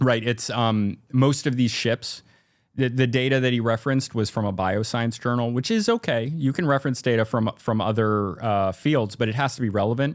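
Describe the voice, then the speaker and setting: A man talks with ordinary pitch variation and very even loudness. It is a very clean recording with a silent background. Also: medium pitch for a man. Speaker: maritime archaeology YouTuber. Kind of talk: casual interview. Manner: fast; halting.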